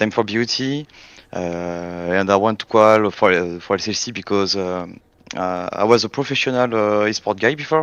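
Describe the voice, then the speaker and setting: Fairly low-pitched man with a French accent, ordinary pitch variation and a moderate pace against a quiet background. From France. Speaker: esports game player. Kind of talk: casual interview. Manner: halting, many hesitations.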